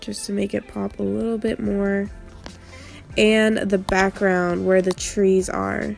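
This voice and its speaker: A woman at a very slow pace over background music. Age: 20s. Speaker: YouTuber. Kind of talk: casual tutorial talk to camera.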